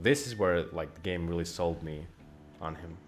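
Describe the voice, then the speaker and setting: With music playing in the background, a man talks at a fairly quick pace with a Finnish accent. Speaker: gaming streamer. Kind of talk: casual gameplay commentary. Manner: animated.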